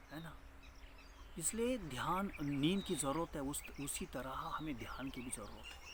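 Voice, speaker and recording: Audible room echo carries a man's fairly high voice. His intonation is lively. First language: Marathi (speaking Hindi). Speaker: meditation teacher. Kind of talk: spiritual talk. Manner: halting.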